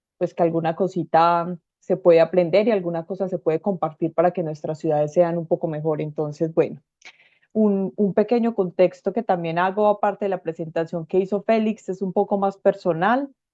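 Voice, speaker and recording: In a Colombian accent, a woman speaks with a fairly low pitch, a dark, mellow tone and fairly even intonation, in a dry, close sound with no echo. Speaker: urban planning expert, speaker. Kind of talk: lecture. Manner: fast.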